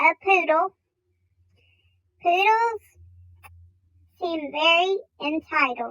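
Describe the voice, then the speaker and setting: In a put-on character voice, squeaky and at an extremely high pitch, the speaker goes at a very slow pace with long, frequent pauses. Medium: comedy sketch. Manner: emotional, dramatic.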